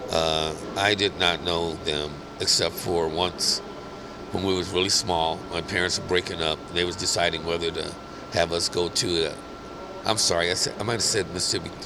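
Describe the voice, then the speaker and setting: Over noticeable background noise, a man with an American accent and a very deep, low pitch talks at a moderate pace. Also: fairly even intonation. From US Midwest, Kansas City. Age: 60s. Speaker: skating community founder. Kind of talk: interview life story. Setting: podcast. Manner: halting, many fillers.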